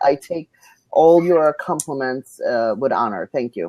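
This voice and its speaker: A moderate pace in a Russian accent. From Belarus. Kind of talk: panel discussion.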